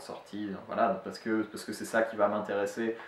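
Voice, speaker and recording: Medium pitch from a man at a moderate pace, with audible room echo and noticeable background noise. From France. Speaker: language teacher. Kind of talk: tutorial. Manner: halting, many fillers.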